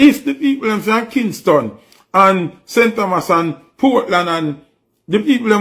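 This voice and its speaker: A man with a Jamaican accent, high in pitch, animated in tone, with ordinary pitch variation. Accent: Jamaican Patois-inflected English. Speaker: news commentary host. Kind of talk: opinionated news commentary.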